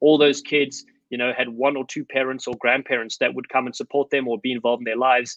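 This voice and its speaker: The speech comes at a very fast pace. The sound is dry and close with no echo, over a quiet background. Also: man, medium pitch for a man. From South Africa. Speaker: former rugby player and coach. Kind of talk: podcast interview. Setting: remote call. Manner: animated.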